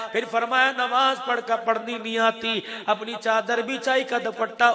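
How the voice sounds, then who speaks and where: The voice is raised and projected, with a passionate tone but monotone, flat intonation. Noticeable background noise sits behind it. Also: man. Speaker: Islamic preacher. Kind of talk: Islamic sermon (bayan) with retold story. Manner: passionate, emotional preaching.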